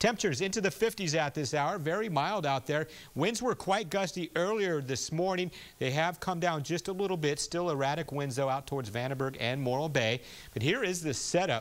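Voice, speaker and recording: A man's unremarkable speaking voice with lively intonation, on a very clean recording with a silent background. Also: fairly high pitch for a man, fairly quick pace. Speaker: television chief meteorologist. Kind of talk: TV weather forecast broadcast.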